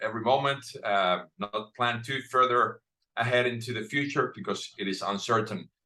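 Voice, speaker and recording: A man with a Finnish accent, medium in pitch, with ordinary pitch variation. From Finland. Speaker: author and speaker. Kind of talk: panel discussion.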